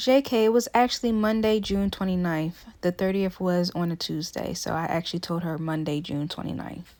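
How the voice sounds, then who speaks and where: Soft-spoken and moving at a moderate pace with hardly any pauses, this voice has ordinary pitch variation on a very clean recording with a silent background. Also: woman, fairly low pitch for a woman. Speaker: vlogger. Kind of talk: casual vlog monologue. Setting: in a car.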